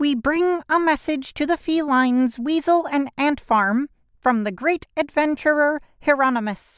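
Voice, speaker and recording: A put-on character voice, squeaky and high-pitched, comes at a moderate pace on a very clean recording with a silent background. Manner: solemn.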